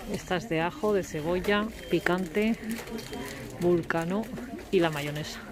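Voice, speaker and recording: A woman with a Spanish accent, fairly low-pitched with ordinary pitch variation, at a fairly slow pace with long, frequent pauses, over noticeable background noise. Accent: Spanish from Spain. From Spain. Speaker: vlogger. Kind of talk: casual talk to camera. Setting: outdoors.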